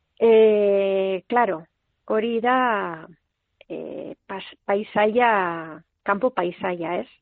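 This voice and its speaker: A woman with a plain, everyday voice speaks at a medium pitch. Her pitch variation is ordinary, but her loudness swings widely. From Basque Country, Lekeitio. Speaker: poet and writer. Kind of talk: interview.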